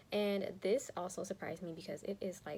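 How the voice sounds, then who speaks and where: Soft-spoken and fairly quick, the voice shows ordinary pitch variation. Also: woman. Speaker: teacher and beauty youtuber. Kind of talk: casual chat. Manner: quiet, soft-spoken.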